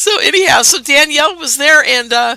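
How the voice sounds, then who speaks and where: A woman with a bright, sharp tone speaks at a moderate pace, and the sound is dry and close with no echo. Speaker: radio show host. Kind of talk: casual interview chat.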